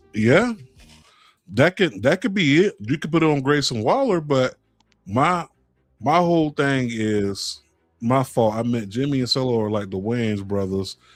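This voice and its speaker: Over music in the background, a man with an American accent and medium pitch speaks fairly slowly with lively intonation and long, frequent pauses. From South Florida. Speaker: wrestling podcast host. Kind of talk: live stream casual chat. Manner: casual, animated.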